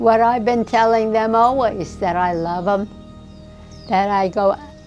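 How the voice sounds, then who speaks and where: Music plays in the background as a woman speaks at a very slow pace. Her fairly high voice keeps a fairly even intonation. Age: 80s+. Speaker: interviewee. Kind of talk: interview.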